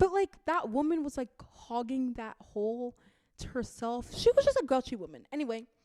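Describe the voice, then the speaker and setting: A woman speaks in a dark, mellow tone, and her pitch swings very widely. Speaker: book vlogger. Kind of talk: casual book rant. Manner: halting, many fillers and self-corrections.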